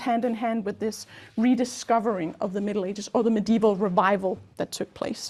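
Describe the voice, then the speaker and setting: At a fairly quick pace comes a plain, everyday voice with ordinary pitch variation. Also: woman. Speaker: academic lecturer in literature (comparative literature PhD). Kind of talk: academic lecture.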